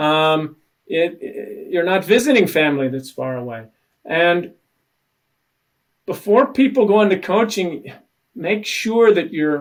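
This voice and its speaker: A high-pitched man's voice with very wide pitch swings, a fairly slow pace and long, frequent pauses. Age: 60s. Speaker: executive coach. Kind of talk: interview. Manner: halting.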